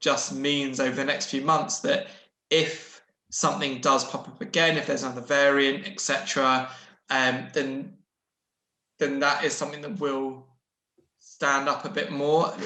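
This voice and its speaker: There's audible room echo around this man's bright, sharp voice, fairly high in pitch, moving at a fairly slow pace with fairly even intonation. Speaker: investment adviser. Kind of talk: webinar Q&A answer. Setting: online webinar. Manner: halting, self-correcting.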